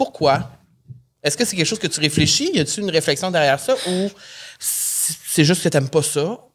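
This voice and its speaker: A woman talks at a fairly low pitch with big swings in loudness. She leaves long, frequent pauses. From Quebec. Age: 30s. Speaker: podcast host; podcast co-host. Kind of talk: casual chat. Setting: studio. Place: studio. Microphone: studio mic.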